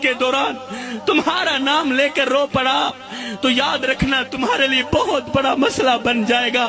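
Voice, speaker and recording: Over noticeable background noise, a man projects a raised voice at an extremely high pitch, with very even loudness. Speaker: religious preacher. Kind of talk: religious sermon. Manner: emotional, impassioned.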